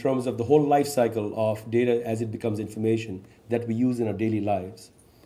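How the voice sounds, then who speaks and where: A man's dark, mellow voice at a fairly quick pace. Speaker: state chief information officer, panel facilitator. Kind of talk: panel moderation. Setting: stage with audience. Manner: enthusiastic. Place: meeting room. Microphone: podium.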